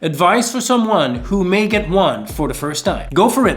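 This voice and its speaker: With music in the background, a man in a French Canadian accent speaks at a high pitch with lively intonation. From Quebec. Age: 40s. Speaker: lifestyle vlogger. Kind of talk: Q&A vlog.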